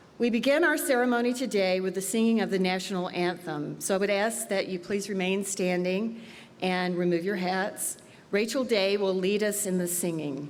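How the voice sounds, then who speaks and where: There is audible room echo as a woman talks at a moderate pace. Her voice is medium in pitch with ordinary pitch variation. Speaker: university provost. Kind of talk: commencement speech. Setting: fieldhouse ceremony with audience. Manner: loud; formal.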